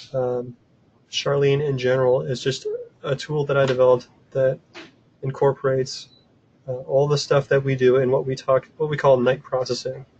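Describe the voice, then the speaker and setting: A man speaks at a moderate pace and medium pitch in a monotone, flat intonation. His voice is somewhat breathy, with long, frequent pauses. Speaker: software developer presenting a tool. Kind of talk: webinar presentation. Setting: online webinar from office desk. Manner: casual, filler-heavy.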